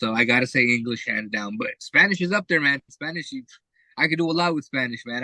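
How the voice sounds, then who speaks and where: Bright and sharp in tone, a man with an American accent speaks with ordinary pitch variation in a dry, close sound with no echo. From South Florida. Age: 20s. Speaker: native English conversation partner. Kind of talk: casual conversation practice. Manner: relaxed, with many fillers.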